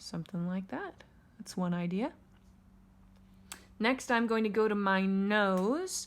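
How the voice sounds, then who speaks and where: A woman at a medium pitch and fairly slow pace, with ordinary pitch variation and long, frequent pauses. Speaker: elementary art teacher. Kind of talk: tutorial. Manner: casual, conversational.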